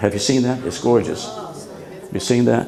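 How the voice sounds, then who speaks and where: A man speaks at a medium pitch, with audible echo from the room. Noticeable background noise sits behind him. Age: 80s+. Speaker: minister. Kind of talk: sermon.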